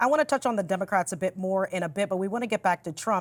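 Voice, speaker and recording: A woman with an ordinary speaking voice talks at a medium pitch. Her pitch variation is ordinary. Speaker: news anchor and reporter. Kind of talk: TV news read.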